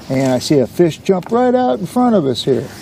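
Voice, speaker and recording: Over noticeable background noise, a man with an American accent speaks at a moderate pace. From US Pacific Northwest, Washington. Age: 70s. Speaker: fishing vlogger. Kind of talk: casual vlog narration. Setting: outdoors on a boat on a lake. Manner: relaxed, casual with fillers.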